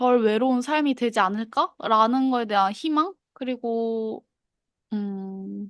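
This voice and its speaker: Over a quiet background, a woman with a fairly high pitch and ordinary pitch variation speaks at a very slow pace. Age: 20s. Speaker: podcast co-host. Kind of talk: casual chat.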